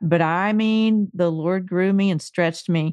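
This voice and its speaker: Here is a woman with an unremarkable speaking voice at medium pitch. She talks at a fairly slow pace with ordinary pitch variation. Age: 50s. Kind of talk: casual interview conversation.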